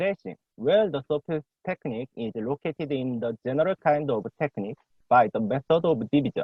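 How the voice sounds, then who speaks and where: Speaking in a Korean accent, a man uses a fairly high pitch and lively intonation at a moderate pace. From South Korea. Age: young. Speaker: PhD student presenting a paper. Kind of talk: academic paper reading; casual chat. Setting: video call.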